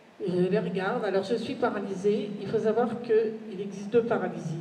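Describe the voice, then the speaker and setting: Fairly even intonation and a fairly slow pace mark the speech. Noticeable background noise and audible room echo fill the recording. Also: woman. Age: 60s. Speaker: conference speaker sharing abduction experience. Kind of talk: conference testimony. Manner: hesitant, many fillers.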